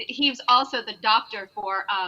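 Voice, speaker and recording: A woman with a New York accent, fairly high-pitched, with ordinary pitch variation. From Long Island, New York. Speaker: singer in a performing group. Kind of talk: casual chat.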